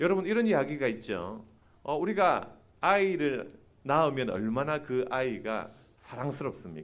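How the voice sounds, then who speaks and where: Audible room echo surrounds a man who talks at a fairly slow pace, his fairly high pitch moving in very wide swings. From Busan, South Korea. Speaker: preacher and seminary professor. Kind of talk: sermon. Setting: church. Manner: animated, engaging the congregation.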